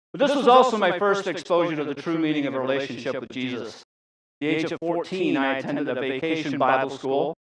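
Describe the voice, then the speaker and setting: Pitch sits fairly high for this man, who talks fairly quickly and varies his pitch in an ordinary way. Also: big swings in loudness. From England, Hertfordshire, then Ontario, Canada. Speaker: transplant recipient giving testimony. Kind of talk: testimony.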